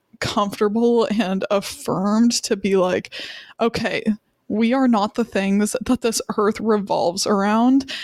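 Hers is a plain, everyday voice: a woman with an American accent, fairly high in pitch, speaking at a fairly slow pace with fairly even intonation and very even loudness. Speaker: podcast co-host. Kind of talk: casual chat. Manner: chatty, talkative.

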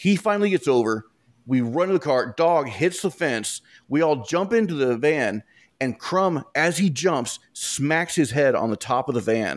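Speaking in a plain, everyday voice, a man with a fairly high pitch talks at a fairly slow pace with lively intonation, on a very clean recording with a silent background. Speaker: author and podcaster. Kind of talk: casual storytelling interview.

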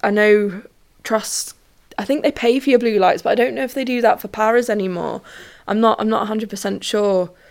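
A woman with a London accent, fairly high pitch and ordinary pitch variation. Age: 20s. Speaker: podcast host and trainee ambulance technician. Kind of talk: casual monologue. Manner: hesitant, many fillers.

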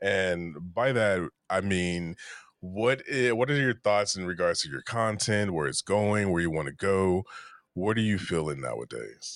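Against a quiet background, a man with a fairly low pitch talks at a fairly slow pace in an unremarkable speaking voice with ordinary pitch variation. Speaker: podcast host and content creator. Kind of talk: casual interview chat.

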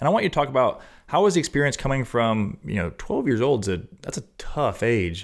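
With vocal fry and a medium pitch, a man speaks fairly quickly as his voice swings very widely in pitch. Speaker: podcast host. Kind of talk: casual interview. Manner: warm, enthusiastic.

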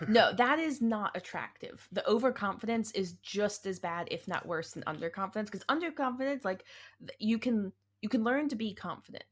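A somewhat breathy woman with a fairly high pitch, lively intonation and an animated tone, on a very clean recording with a silent background. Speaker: podcast co-host. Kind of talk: casual chat podcast. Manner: animated, joking, interrupts playfully.

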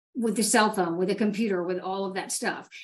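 A woman's normal speaking voice at a medium pitch, with fairly even intonation. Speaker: fire battalion chief and PIO. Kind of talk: panel discussion. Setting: video call.

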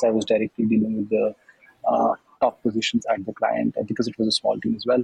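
A man with an Indian accent speaks in a dry, close sound with no echo. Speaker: MBA student, former consultant. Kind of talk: interview. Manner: halting.

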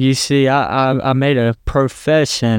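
Over a quiet background, a man with a Southern US accent speaks at a fairly slow pace, his medium-pitched voice keeping fairly even intonation. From US South, South Carolina. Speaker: Bible college student. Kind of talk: testimony.

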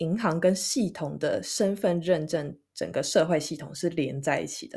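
A woman with an unremarkable speaking voice talks at a fairly low pitch and moderate pace with ordinary pitch variation. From Taiwan. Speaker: podcast co-host. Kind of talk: casual chat.

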